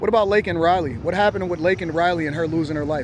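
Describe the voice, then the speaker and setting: Very fast, animated man with a high pitch, noticeable background noise and audible room echo. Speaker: street interviewer and political commentator. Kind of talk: heated debate.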